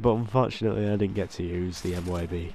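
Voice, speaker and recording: The speaker is a man with a dark, mellow tone. He talks very fast. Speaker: gaming commentator. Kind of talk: gameplay commentary.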